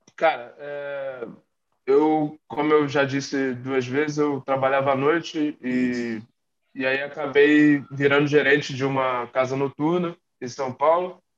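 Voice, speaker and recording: Monotone, flat intonation from a man with a fairly high pitch. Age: 30s. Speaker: American football player. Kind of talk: casual interview. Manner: halting, many fillers.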